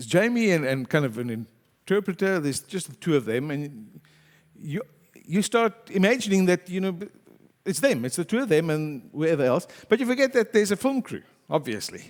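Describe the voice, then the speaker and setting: Loud speech at a moderate pace, with very wide pitch swings. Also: man, high pitch for a man. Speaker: pastor. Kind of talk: sermon.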